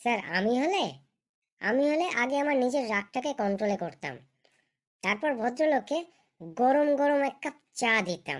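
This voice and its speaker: A female-sounding cartoonish character voice, high in pitch, moves at a moderate pace. The recording is very clean with a silent background. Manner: smug, argumentative, always addressing "sir".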